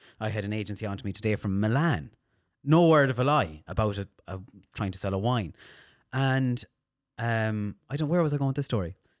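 A man with a western Irish accent, fairly low in pitch, with lively intonation at a fairly quick pace and long, frequent pauses, in a very clean recording with a silent background. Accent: Irish, west of Ireland. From Ireland, County Mayo (Castlebar). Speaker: radio DJ and social media manager. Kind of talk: casual chat.

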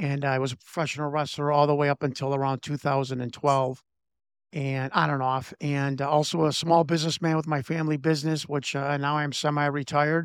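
A man's fairly high, monotone voice with flat intonation and a Chicago accent at a fairly quick pace, on a very clean recording with a silent background. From Chicago, US Midwest. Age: 50s. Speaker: former pro wrestler and political candidate. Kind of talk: interview.

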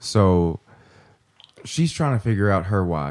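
A man with a Kentucky accent speaks at a very deep, low pitch. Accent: Southern US (Kentucky). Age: 30s. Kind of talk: casual chat.

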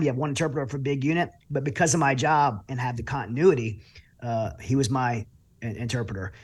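In a Southern US accent, a man talks at a very fast pace, somewhat breathy, with ordinary pitch variation. The recording is very clean with a silent background. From Louisiana. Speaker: military veteran and author. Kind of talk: interview.

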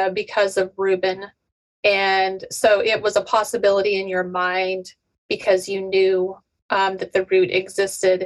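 Here is a woman with an unremarkable speaking voice. She talks at a medium pitch and a fairly slow pace. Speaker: podcast host. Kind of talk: casual interview.

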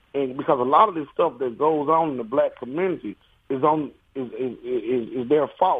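The speaker uses a plain, everyday voice at a moderate pace. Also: man. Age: 40s. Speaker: caller. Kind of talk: radio call-in.

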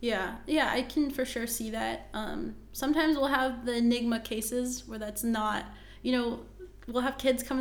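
In a room with audible echo, a woman with a fairly high pitch speaks at a moderate pace with fairly even intonation. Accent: American. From US, West Virginia. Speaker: competitive jump roper and performer. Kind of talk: interview.

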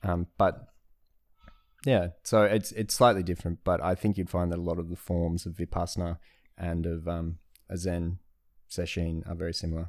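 A man's very deep, low voice in an Australian accent, monotone and flat, at a moderate pace with long, frequent pauses, on a very clean recording with a silent background. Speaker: Zen practitioner and traveller. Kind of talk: casual chat. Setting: at home.

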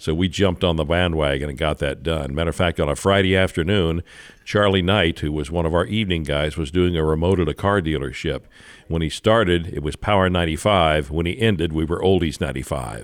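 This man's voice sits very deep and low, with vocal fry running through it. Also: ordinary pitch variation, fairly quick pace. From Kansas City, Missouri, US Midwest. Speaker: radio and TV broadcaster. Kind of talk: casual chat. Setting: studio.

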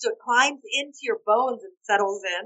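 This is a woman with a fairly high pitch. Her tone is fairly bright, and her pitch varies in an ordinary way.

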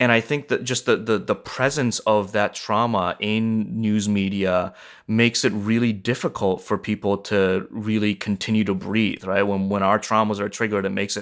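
Speaking in a normal speaking voice with an American accent, a man with a fairly low pitch keeps a moderate pace and hardly any pauses on a very clean recording with a silent background. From born in Japan, raised in US from age 7. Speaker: nonviolence trainer and author. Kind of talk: interview.

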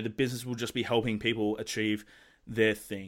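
With an Australian accent, a man speaks in a monotone, flat intonation. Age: 20s. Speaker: entrepreneur and podcaster. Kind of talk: casual interview chat. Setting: Skype call.

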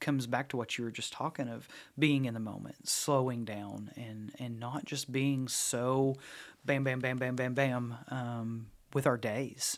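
In an East Tennessee accent, a man speaks at a fairly slow pace with a medium pitch and fairly even intonation. The recording is very clean and the background silent. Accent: East Tennessee Southern US. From East Tennessee (Knoxville area). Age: 40s. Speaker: youth ministry staff. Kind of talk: casual interview chat. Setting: studio.

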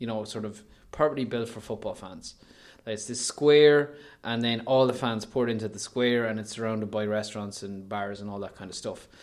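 Speaking in an Irish midlands accent, a man keeps a moderate pace, medium pitch and fairly even intonation, while his loudness swings widely. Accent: Irish (north-west midlands). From Ireland, County Leitrim. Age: 30s. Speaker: online news editor, former radio presenter. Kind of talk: casual chat. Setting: hotel room with window view.

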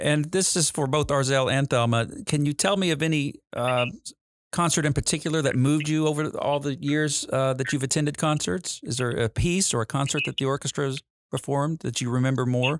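Using a normal speaking voice, a man with a fairly high pitch talks at a fairly quick pace, his intonation fairly even and his loudness very even, in a dry, close sound with no echo. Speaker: orchestra conductor and host.

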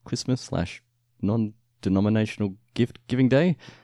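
Someone with an Australian accent speaks in a dark, mellow tone with ordinary pitch variation. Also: man. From Australia, Victoria. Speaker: podcast host. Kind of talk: casual chat. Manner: laughs often.

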